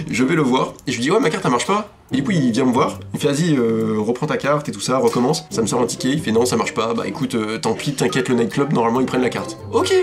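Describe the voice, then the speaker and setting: Music plays in the background as the speech runs at a very fast pace with hardly any pauses. The intonation is lively. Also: man, medium pitch for a man. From France. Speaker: vlogger. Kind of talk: casual storytelling. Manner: animated; halting.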